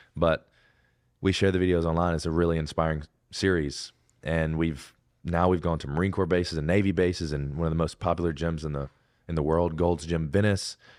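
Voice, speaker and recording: Against a quiet background, the speaker talks in an Alabama accent, fairly quickly and in a monotone, flat way. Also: man, very deep, low pitch for a man. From Alabama, US South. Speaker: Navy veteran and fitness content creator. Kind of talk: podcast interview. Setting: studio.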